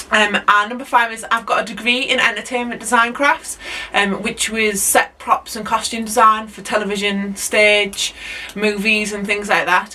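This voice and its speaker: This woman talks at a moderate pace with a fairly high pitch and fairly even intonation. Her loudness swings widely, and background noise is noticeable. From northern England, Hull. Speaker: allotment vlogger and teacher. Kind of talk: casual vlog talk to camera. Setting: outdoors at allotment. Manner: hesitant, many ums.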